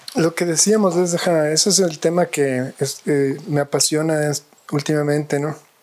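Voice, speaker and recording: Over noticeable background noise, a man speaks at a fairly slow pace, his intonation fairly even and his loudness very even. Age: 40s. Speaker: architect and professor. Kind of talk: interview conversation. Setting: at his home. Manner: hesitant, many fillers and repetitions.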